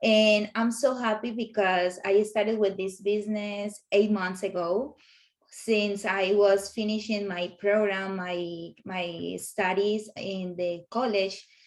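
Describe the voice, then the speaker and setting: With a Colombian accent, a woman speaks at a very slow pace in a medium pitch and monotone, flat intonation. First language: Spanish. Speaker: professional home organizer. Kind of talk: interview. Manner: halting with fillers. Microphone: sound problems at start.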